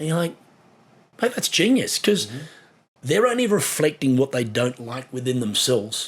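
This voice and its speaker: A man's fairly high, somewhat breathy voice with lively intonation, at a moderate pace broken by long, frequent pauses. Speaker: sports broadcaster. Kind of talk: podcast interview answer.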